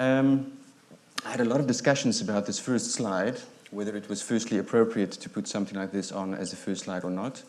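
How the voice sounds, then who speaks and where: Audible room echo surrounds a man speaking at a fairly quick pace and fairly low pitch with fairly even intonation. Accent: South African. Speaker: psychiatrist. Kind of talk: lecture. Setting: stage with audience. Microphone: too quiet at first, volume adjusted.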